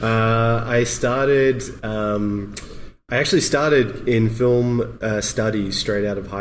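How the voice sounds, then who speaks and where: A fairly low-pitched male voice with fairly even intonation and audible room echo. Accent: Australian. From Australia. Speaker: motion graphics artist. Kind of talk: podcast interview.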